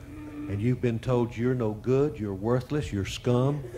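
Over light background noise, a man talks at a moderate pace and medium pitch. His voice is somewhat breathy, with fairly even intonation. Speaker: deliverance minister. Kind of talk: deliverance prayer, commanding spirits to leave. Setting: church service with congregation. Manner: forceful staccato commands overlapping with congregation's yeses; emphatic, repetitive. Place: church. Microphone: handheld.

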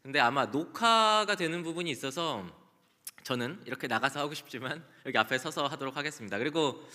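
Against a quiet background, the voice moves at a fairly quick pace with a bright, sharp tone and lively intonation. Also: man, fairly high pitch for a man. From South Korea. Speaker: conference speaker. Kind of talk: conference talk. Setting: stage with audience. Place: hall. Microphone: podium.

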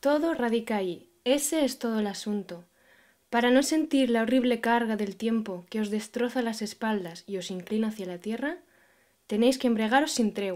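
At a moderate pace and fairly high pitch, a woman speaks with ordinary pitch variation on a very clean recording with a silent background. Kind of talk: poem reading aloud, repeated takes. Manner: halting, stumbling, repeating phrases.

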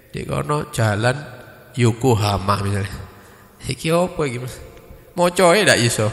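A moderate pace and very wide pitch swings against a quiet background. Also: man. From East Java, Indonesia. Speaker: Islamic preacher. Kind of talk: religious study lecture. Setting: mosque study gathering after dawn prayer. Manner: casual, mixing Javanese and Indonesian. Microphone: handheld.

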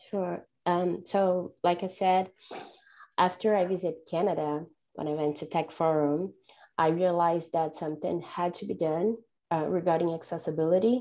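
A woman with a Portuguese accent, fairly low in pitch and dark and mellow in tone, at a moderate pace with fairly even intonation, against a quiet background. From Brazil. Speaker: data analysis manager; panelist. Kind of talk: panel discussion. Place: home room. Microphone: earbuds.

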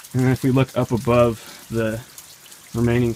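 A man's flat, monotone delivery over light background noise. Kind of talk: casual exploration commentary. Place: forest. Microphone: phone near.

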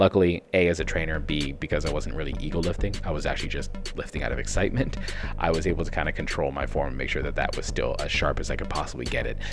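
A man at a very fast pace over clear music in the background. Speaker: fitness trainer. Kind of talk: casual vlog commentary. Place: home room. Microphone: studio mic.

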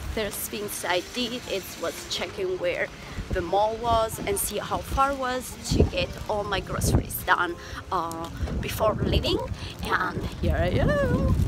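Music plays in the background as a woman speaks at a fairly slow pace. The sound is dry, with no echo. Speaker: travel vlogger. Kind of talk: casual vlog chat. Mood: cheerful, upbeat. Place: street. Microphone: phone near.

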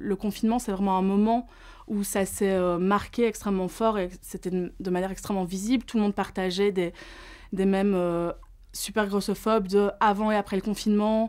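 The background is quiet. A woman speaks at a fairly quick pace with fairly even intonation. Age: 30s. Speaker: psychologist and fat activist; interviewee. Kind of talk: testimony. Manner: casual, with frequent hesitations. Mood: earnest, reflective. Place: studio.

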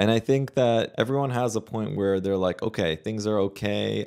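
In a quiet setting, a man with a fairly low pitch talks at a moderate pace with ordinary pitch variation. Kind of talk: commentary. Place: office. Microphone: studio mic.

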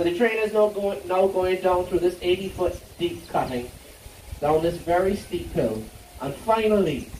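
Over light background noise and with audible room echo, a man talks at a moderate pace in a high pitch. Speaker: tour guide. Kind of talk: tour guide commentary.

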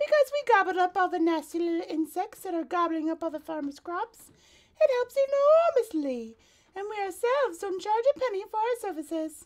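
In a put-on character voice, a woman talks at a fairly quick pace with extremely high pitch and very wide pitch swings. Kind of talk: children's read-aloud. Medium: read story. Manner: modest, genteel, a little snobbish.

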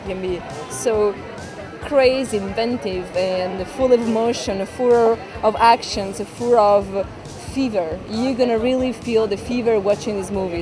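With clear music in the background, a woman speaks using fairly even intonation. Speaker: actress at a party. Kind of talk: interview answer. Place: street.

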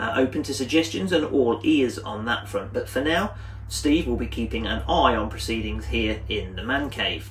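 Moderate pace from a man, light background noise behind him. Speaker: hunting video host. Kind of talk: casual vlog chat. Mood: cheerful, chatty. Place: home room. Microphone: camera far.

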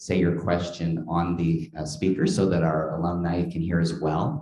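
With a dark, mellow tone and very deep, low pitch, a man talks at a fairly slow pace amid audible room echo. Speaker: event host. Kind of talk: event introduction and announcements. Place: classroom. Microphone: podium.

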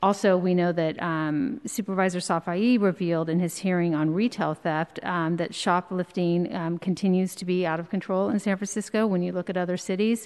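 A woman speaks at a moderate pace with hardly any pauses and fairly even intonation. The background is quiet. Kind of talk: prepared hearing statement. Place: hall. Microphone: podium.

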